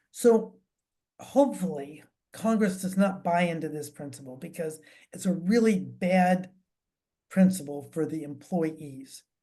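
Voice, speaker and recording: With a dark, mellow tone and fairly low pitch, a woman speaks with lively intonation, broken by long, frequent pauses. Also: fairly slow pace. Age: 70s. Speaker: financial advisor. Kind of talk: town hall talk. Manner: halting, many fillers.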